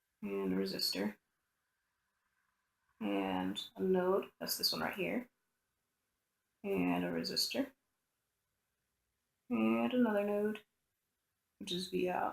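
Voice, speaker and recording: The speech is mumbled at a very slow pace. Long pauses come often. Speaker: electronics tutorial presenter. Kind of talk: casual tutorial explanation. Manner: mumbling, talks to self.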